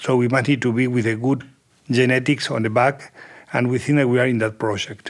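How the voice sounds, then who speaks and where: At a moderate pace and medium pitch, a man with an Argentine accent speaks in a flat, monotone way. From Argentina. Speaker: agribusiness general manager. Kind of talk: casual interview. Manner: halting.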